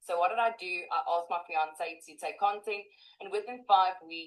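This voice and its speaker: A woman talks in an unremarkable speaking voice at a medium pitch and a moderate pace. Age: 20s. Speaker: online marketer. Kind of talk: testimony.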